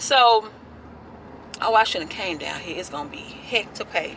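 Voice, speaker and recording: Over noticeable background noise, a woman with an American accent speaks at a fairly high pitch. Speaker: lifestyle blogger and vlogger. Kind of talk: casual vlog talk to camera. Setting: in a car. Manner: chatty, conversational.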